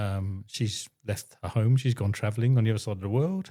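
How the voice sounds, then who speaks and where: Against a silent background in a very clean recording, a man with a fairly low voice speaks at a moderate pace with fairly even intonation. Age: 60s. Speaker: husband of a woman in menopause. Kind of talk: interview. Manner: halting.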